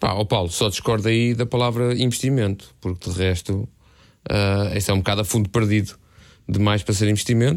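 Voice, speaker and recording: In a very clean recording with a silent background, a man speaks fairly quickly at a fairly low pitch with fairly even intonation. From Portugal, Lisbon area (Algés). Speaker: podcast co-host, novelist. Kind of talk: casual chat.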